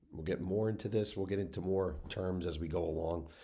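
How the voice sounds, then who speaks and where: This man's voice is very deep and low, with a dark, mellow tone and a somewhat breathy quality. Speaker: wine educator. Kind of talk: educational talk to camera. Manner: casual, with fillers.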